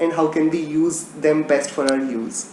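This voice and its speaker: Speaking at a fairly slow pace with an Indian accent and fairly even intonation, the voice carries audible room echo and noticeable background noise. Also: man. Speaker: religion teacher. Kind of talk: casual chat; lecture.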